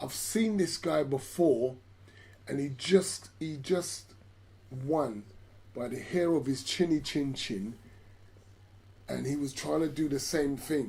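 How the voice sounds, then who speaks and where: At a very slow pace, a man with a fairly high pitch and lively intonation sounds somewhat breathy. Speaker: boxing commentator. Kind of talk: live sports commentary, watch-along. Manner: excited, animated.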